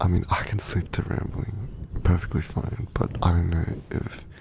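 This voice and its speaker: A man talks in a very deep, low voice at a fairly slow pace, with ordinary pitch variation. Noticeable background noise sits behind him. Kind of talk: ASMR rambling to help viewers sleep; casual talk to camera. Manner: soft-spoken.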